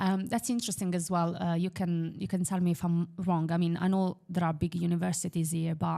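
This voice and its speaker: In an Italian accent, a woman with a fairly low pitch and a dark, mellow tone talks at a fairly quick pace with hardly any pauses. Her loudness is very even, her intonation fairly even, and the recording is very clean with a silent background. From Italy, Milan. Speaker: property investor. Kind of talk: podcast interview.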